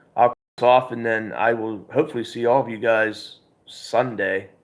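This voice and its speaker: At a moderate pace, a man talks at a medium pitch. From Pennsylvania, US. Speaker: outdoors YouTuber. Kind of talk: live stream chat. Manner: halting, many fillers.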